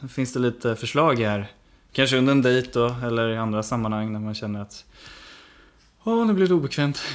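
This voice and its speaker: At a fairly quick pace broken by long, frequent pauses, a man speaks in a medium pitch with ordinary pitch variation. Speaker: podcast co-host. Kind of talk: casual chat.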